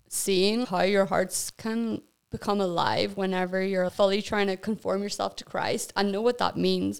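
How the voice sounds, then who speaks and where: Speaking at a medium pitch, a woman keeps her intonation monotone and flat. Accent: Northern Irish. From Northern Ireland, County Armagh. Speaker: missionary. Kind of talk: casual chat.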